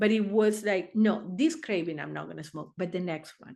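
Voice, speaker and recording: Against a quiet background, a woman with a non-native accent speaks at a medium pitch. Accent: foreign. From Argentina. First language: Spanish. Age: 60s. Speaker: therapist. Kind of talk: interview answer.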